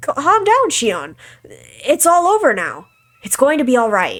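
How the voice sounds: A woman puts on a cartoonish character voice with a high pitch and a fairly bright tone. She moves at a fairly slow pace, and her pitch swings very widely.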